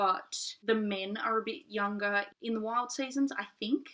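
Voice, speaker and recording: With an Australian accent, a woman speaks at a fairly high pitch in a bright, sharp tone, using ordinary pitch variation. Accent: mild Australian. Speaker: book reviewer. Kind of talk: casual vlog review. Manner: fast.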